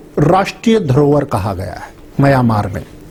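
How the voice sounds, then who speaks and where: A man speaks with a Haryanvi accent and lively intonation. Noticeable background noise runs underneath. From Haryana. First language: Haryanvi (speaking Hindi). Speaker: English professor. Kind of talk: lecture.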